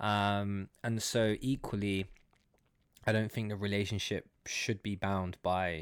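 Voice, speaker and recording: On a very clean recording with a silent background, a man with a London accent talks in a fairly low pitch with flat, monotone intonation. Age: 20s. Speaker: startup worker. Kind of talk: casual chat.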